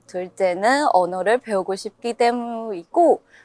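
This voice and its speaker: In a dry, close sound with no echo, a woman speaks with a Chinese accent and ordinary pitch variation. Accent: Chinese accent in Korean. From China, Chongqing. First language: Chinese (speaking Korean). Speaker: international university student. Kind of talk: interview.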